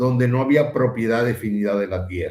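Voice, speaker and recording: Man with a Dominican accent, medium pitch, a somewhat breathy voice, lively intonation and audible room echo. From Dominican Republic. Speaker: philosopher, former university administrator. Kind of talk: interview conversation.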